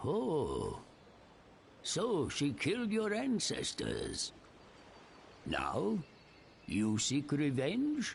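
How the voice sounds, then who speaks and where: A man puts on a character voice at a fairly high pitch, speaking at a very slow pace. Long, frequent pauses break it up over clear background noise. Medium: video game.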